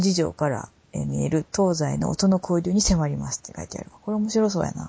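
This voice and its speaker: This woman has an unremarkable speaking voice, talking at a fairly quick pace with fairly even intonation. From Ehime, Japan. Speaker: podcast host. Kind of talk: casual chat.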